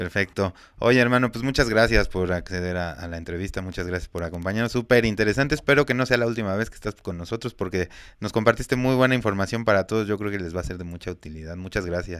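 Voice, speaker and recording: A man with a Mexican accent talks very fast at a fairly low pitch. His pitch varies in an ordinary way. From Mexico. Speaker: podcast host. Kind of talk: casual interview.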